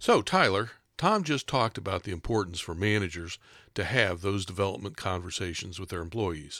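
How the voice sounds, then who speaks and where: With a normal speaking voice, the speaker talks at a fairly quick pace and ordinary pitch variation in a very clean recording with a silent background. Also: man, fairly low pitch for a man. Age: 60s. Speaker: podcast host. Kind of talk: podcast discussion. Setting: studio.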